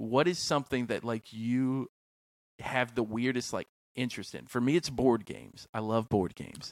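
On a very clean recording with a silent background, a man with a plain, everyday voice speaks at medium pitch and a moderate pace. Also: dry, close sound with no echo. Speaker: podcast host. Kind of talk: casual interview chat.

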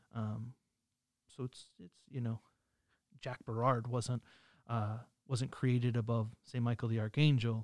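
A man speaks at a medium pitch in a flat monotone, with big swings in loudness and long, frequent pauses, in a dry, close sound with no echo. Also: fairly slow pace. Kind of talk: casual religious discussion.

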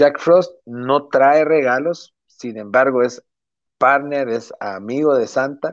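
Against a quiet background, a man talks very slowly. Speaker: podcast co-host. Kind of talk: casual chat.

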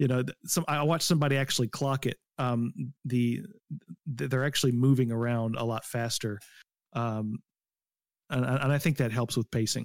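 In a very clean recording with a silent background and a dry, close sound with no echo, a man with an unremarkable speaking voice talks at medium pitch, at a moderate pace, with fairly even intonation. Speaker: gaming podcast co-host. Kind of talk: casual chat.

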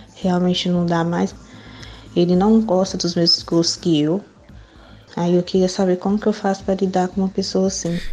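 A woman speaks at a moderate pace and medium pitch in a monotone, flat intonation, with music in the background. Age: 20s. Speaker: listener asking for advice. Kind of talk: recorded question.

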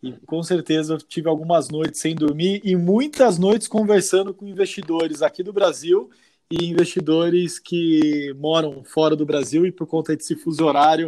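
At a moderate pace, a man with a dark, mellow tone talks at a fairly high pitch with ordinary pitch variation. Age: 30s. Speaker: investment advisor. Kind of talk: interview.

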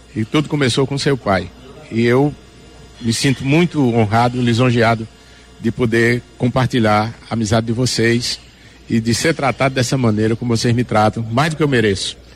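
A man's medium-pitched voice at a moderate pace, with fairly even intonation, very even loudness and noticeable background noise. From Northeast Brazil, Juazeiro do Norte, Ceará. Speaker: singer. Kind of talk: interview.

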